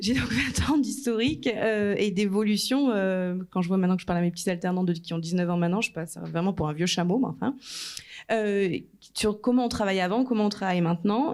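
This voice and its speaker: A woman's medium-pitched voice moves fairly quickly, with ordinary pitch variation. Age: 30s. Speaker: marketing director. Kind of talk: conference talk. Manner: animated.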